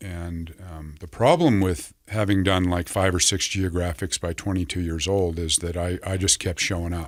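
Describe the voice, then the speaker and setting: A man speaks with a very deep, low voice. The recording is very clean, with a silent background. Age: 60s. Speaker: recovery center clinical director, former addict. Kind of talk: interview about addiction recovery story. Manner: halting, repeating words.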